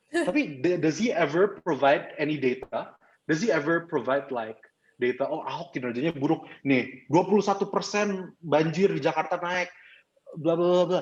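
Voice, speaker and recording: Here a man speaks in an Indonesian accent with an animated tone. He talks at a fairly quick pace in a high pitch with ordinary pitch variation. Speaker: club trainer. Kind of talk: training presentation. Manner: fast.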